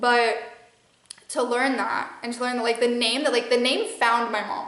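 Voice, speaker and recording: The speaker has a Midwestern American accent and a fairly quick pace. Audible room echo is present. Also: woman. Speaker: spiritual channeler and podcast host. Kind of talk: casual monologue. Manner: rambling with many fillers.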